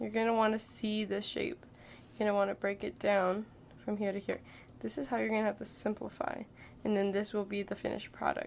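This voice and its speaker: With ordinary pitch variation, the voice moves along at a fairly quick pace. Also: woman, medium pitch for a woman. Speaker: artist, drawing teacher. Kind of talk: casual drawing tutorial talk. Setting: home room with fan and air conditioning noise.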